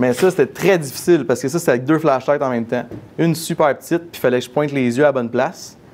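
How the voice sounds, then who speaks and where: Through noticeable background noise, a man talks at a very fast pace and a fairly high pitch with ordinary pitch variation. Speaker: miniature photographer giving a talk. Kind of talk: conference Q&A.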